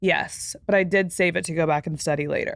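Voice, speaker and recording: Against a quiet background, a woman with an American accent speaks with fairly even intonation. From Texas. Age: 20s. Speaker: podcast host. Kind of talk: casual chat. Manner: many filler words.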